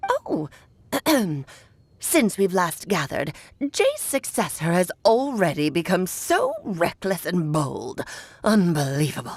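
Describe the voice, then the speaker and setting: A woman's put-on character voice at a medium pitch, fairly slow, with long, frequent pauses. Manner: haughty, scolding.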